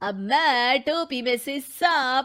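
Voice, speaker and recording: A woman's cartoonish character voice, high-pitched, with ordinary pitch variation. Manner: showy, theatrical.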